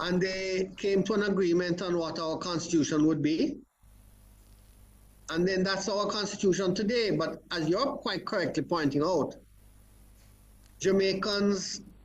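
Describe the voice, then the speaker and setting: The room echo is audible as a man with a high voice talks. He goes at a fairly slow pace with ordinary pitch variation. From Jamaica. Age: 70s. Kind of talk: interview on constitutional reform.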